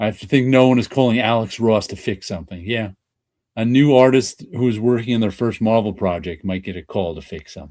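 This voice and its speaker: Big swings in loudness run through a man's fairly quick speech in a dark, mellow tone. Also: medium pitch for a man, ordinary pitch variation. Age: 60s. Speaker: YouTube comics show host. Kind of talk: casual chat. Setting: live stream.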